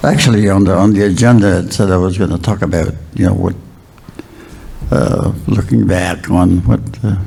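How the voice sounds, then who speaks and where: There is audible room echo and noticeable background noise as a man speaks at a moderate pace. His very deep, low voice is broken by long, frequent pauses. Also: ordinary pitch variation. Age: 80s+. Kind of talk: keynote speech. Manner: halting, many fillers.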